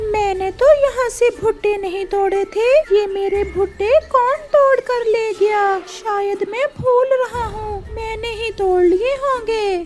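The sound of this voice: Over clear background noise, a woman uses a cartoonish character voice with an extremely high pitch at a fairly slow pace.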